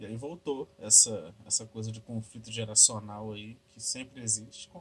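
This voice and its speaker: An unremarkable speaking voice from a man, medium in pitch, with fairly even intonation and a moderate pace. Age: 20s. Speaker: podcast host. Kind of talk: casual solo monologue. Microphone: laptop recording, noisy audio.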